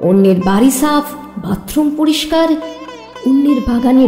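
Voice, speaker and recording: A woman's high-pitched voice is heard with music playing behind it. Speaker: poetry reciter. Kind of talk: poetry reading.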